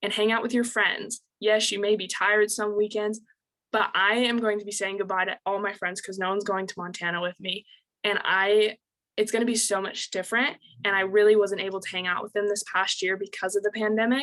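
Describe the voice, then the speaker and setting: A woman talks at a fairly quick pace with an American accent. Her tone is bright and sharp, her medium pitch held in a monotone, flat intonation. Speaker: pageant titleholder, recent high school graduate. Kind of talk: advice chat. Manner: fast.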